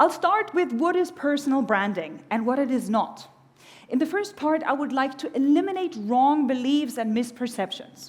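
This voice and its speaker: Speaking at a moderate pace in a German accent, a woman uses a high pitch with very wide swings, and the room echo is audible. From Germany. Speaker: keynote speaker on personal branding. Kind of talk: conference keynote talk. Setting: stage with audience. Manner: animated.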